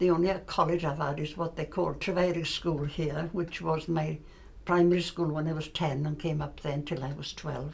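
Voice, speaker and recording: A woman with a Welsh accent speaks at a moderate pace in a very deep, low voice with flat, monotone intonation. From Wales, Aberystwyth area. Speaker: retired shop worker. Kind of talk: casual reminiscing interview. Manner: halting.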